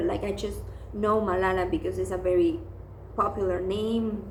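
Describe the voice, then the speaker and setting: The woman speaks at a moderate pace with a non-native accent. Background noise is noticeable, and the room echo can be heard. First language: not English. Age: 20s. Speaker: book vlogger. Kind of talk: casual book review monologue. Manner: hesitant, many fillers.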